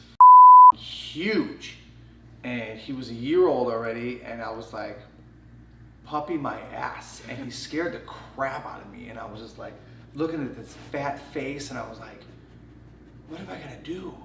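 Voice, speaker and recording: A man with an American accent at medium pitch, ordinary pitch variation and a moderate pace, with long, frequent pauses, big swings in loudness, audible room echo and noticeable background noise. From Chicago, Illinois. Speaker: choreographer. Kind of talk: casual chat.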